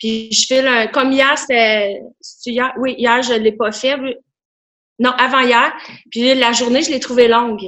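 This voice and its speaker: Here a woman speaks at a high pitch with monotone, flat intonation. She goes fairly slowly, with long, frequent pauses. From Quebec, Outaouais. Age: 40s. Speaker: school remedial teacher, gym member. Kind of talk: casual interview.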